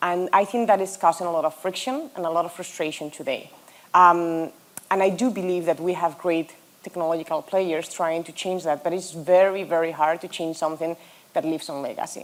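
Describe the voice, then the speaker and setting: A woman talks at a fairly quick pace with a Spanish accent, a fairly low pitch and fairly even intonation. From Spain. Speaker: hospitality tech executive. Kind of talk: conference panel discussion.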